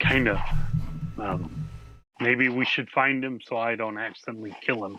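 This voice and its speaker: A man puts on a character voice. He speaks at a moderate pace with a medium pitch. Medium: actual play. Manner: blunt.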